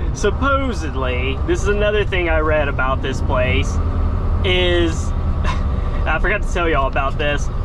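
Someone talks at a moderate pace while noticeable background noise carries on. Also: man, dry sound with no echo. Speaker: truck driver vlogger. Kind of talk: casual vlog chat. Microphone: phone near.

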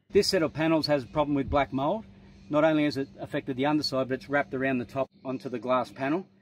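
A man speaks at a fast pace with a medium pitch. His intonation is fairly even.

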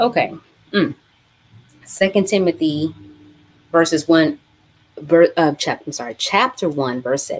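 A woman with fairly low pitch, lively intonation and an animated tone, at a fairly slow pace with long, frequent pauses. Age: 40s. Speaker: bible study host. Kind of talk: live-streamed bible study. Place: home room. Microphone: webcam.

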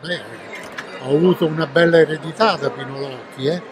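A man's voice comes through dry with no echo, over noticeable background noise. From Italy. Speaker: voice actor, Italian dubbing. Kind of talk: interview answer. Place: hall.

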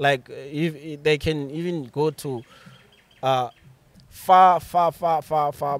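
A man with a Botswana accent and a fairly high pitch speaks very slowly with fairly even intonation and long, frequent pauses, in a dry sound with no echo. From Botswana, Bobonong. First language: Setswana. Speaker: author and creative writer; podcast guest. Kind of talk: casual chat. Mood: relaxed, laughing at times. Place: garden. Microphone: studio mic.

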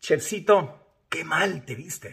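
A man with a Mexican accent sounds somewhat breathy and animated against a quiet background. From Mexico. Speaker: social media influencer. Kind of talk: video commentary. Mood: indignant, reproachful. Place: home room. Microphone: phone near.

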